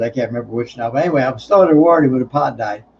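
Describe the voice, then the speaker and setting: This man's voice sits fairly high, with ordinary pitch variation and a somewhat breathy quality. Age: 70s. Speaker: livestream host. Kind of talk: casual chat. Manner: halting.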